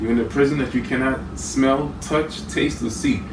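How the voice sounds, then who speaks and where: Over noticeable background noise and audible room echo, a man speaks at medium pitch with ordinary pitch variation. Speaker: conspiracy video creator. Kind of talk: lecture. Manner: fast.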